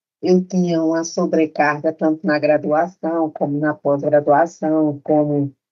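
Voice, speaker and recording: This woman talks very slowly. Music can be heard behind her. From Brazil, interior of Pernambuco. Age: 70s. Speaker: retired professor and nurse-midwife. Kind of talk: interview conversation.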